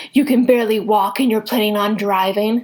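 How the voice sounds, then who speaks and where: Putting on a character voice, a woman speaks at a fairly quick pace and fairly high pitch. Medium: read story. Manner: relaxed, friendly.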